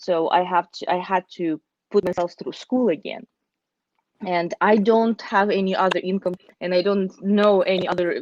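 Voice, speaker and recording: Speaking with a Russian accent, a woman at medium pitch keeps a moderate pace and fairly even intonation, with a dry, close sound and no echo. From Russia, Siberia (Omsk). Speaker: accountant and business owner. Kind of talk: interview.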